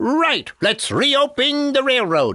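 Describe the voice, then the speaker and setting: The speaker uses a put-on character voice. It is high in pitch. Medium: short film. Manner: subdued, hesitant.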